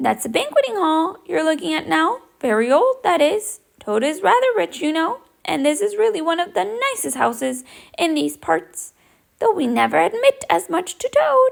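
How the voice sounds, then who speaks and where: A woman puts on a character voice at an extremely high pitch. She speaks at a moderate pace. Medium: read story. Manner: cheerful, easygoing.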